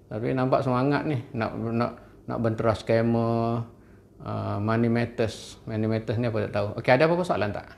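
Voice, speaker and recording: Audible room echo surrounds a man speaking at a medium pitch and moderate pace with ordinary pitch variation. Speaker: university finance lecturer. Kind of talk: online lecture. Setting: live stream with camera and whiteboard.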